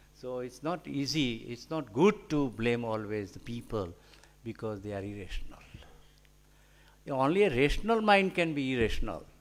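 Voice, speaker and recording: With a Gujarati accent, a man speaks at a moderate pace and medium pitch, using very wide pitch swings, big swings in loudness and long, frequent pauses. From India, Gujarat. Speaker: scientist and author. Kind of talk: lecture. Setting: hall with audience. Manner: halting, many fillers.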